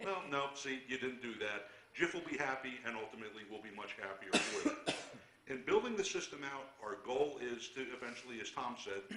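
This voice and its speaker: Audible room echo and noticeable background noise surround a man's voice. He speaks at a fairly quick pace with a medium pitch and ordinary pitch variation. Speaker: borough official at council meeting. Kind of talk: public meeting presentation. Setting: council meeting room. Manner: loud.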